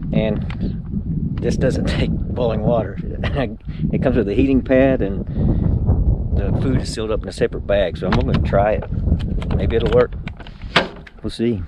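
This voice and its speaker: A man talks at a moderate pace with long, frequent pauses. The sound is dry with no echo, against loud background noise. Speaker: motorcycle traveler vlogger. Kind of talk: casual vlog chat. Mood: upbeat, laughing. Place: open country. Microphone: phone near.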